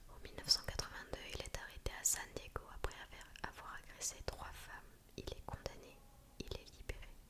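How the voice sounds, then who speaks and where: Whispering at a moderate pace, a woman's loudness swings widely over noticeable background noise. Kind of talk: true crime storytelling. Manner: whispered, soft.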